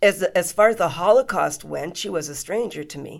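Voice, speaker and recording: Vocal fry runs through a woman's speech. She talks at a fairly slow pace. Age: 60s. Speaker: Holocaust educator and author. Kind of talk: interview.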